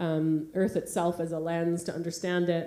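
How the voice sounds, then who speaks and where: With a Canadian accent, a woman speaks in a fairly low pitch with a dark, mellow tone and monotone, flat intonation amid audible room echo. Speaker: artist and curator. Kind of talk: keynote talk with slides. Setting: theatre stage with audience. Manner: fast; hesitant, many fillers.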